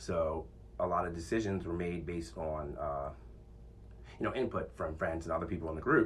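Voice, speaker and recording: Loud and at a fairly quick pace, a man with a very deep, low pitch and vocal fry uses lively intonation and a bright, sharp tone, with audible room echo around him. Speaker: podcast host. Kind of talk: casual monologue. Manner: confident.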